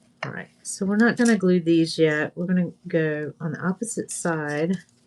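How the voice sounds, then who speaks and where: An ordinary speaking voice from a woman with an American accent, fairly low in pitch, moderately paced, with ordinary pitch variation. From US South, Northwest Florida. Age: 60s. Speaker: craft video host. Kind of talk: craft tutorial livestream. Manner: casual, chatty.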